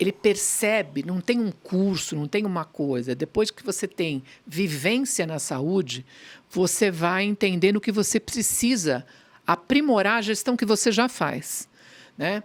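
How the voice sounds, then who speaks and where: A woman's plain, everyday voice, medium in pitch and fairly slow, with lively intonation. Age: 60s. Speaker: pediatrician and pharmaceutical executive. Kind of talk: interview.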